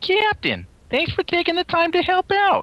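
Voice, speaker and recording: A put-on character voice at an extremely high pitch and a moderate pace. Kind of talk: formal. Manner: professional, polite.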